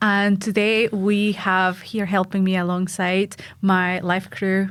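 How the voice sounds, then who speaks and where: With a Mexican accent, a woman at medium pitch speaks very slowly in a monotone, flat delivery on a very clean recording with a silent background. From Mexico. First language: Spanish. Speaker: podcast host, ultra runner and coach. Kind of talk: casual chat.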